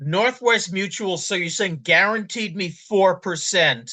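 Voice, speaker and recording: A man uses a raised, projected voice with a high pitch and a bright, sharp tone. He goes at a very slow pace with ordinary pitch variation over a quiet background. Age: 60s. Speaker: podcast host. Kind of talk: interview.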